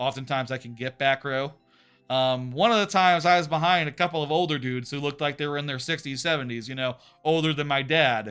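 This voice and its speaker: Over music in the background, a man with a Texan accent talks at a very fast pace in an animated tone. His pitch is fairly high, with ordinary pitch variation. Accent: Texan American. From Texas. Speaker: streamer. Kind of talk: casual chat. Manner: halting.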